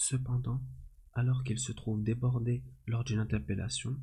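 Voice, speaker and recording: Soft-spoken and calm in tone, a man talks at a very slow pace. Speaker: ASMR creator reviewing a film. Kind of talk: ASMR film review, soft spoken to camera. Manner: soft-spoken, calm.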